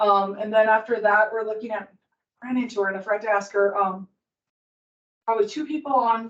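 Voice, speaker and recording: A woman talks at a fairly quick pace in a fairly high pitch with fairly even intonation. She leaves long, frequent pauses. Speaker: committee member co-hosting a podcast. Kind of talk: committee meeting discussion. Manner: loud at times; hesitant, many fillers.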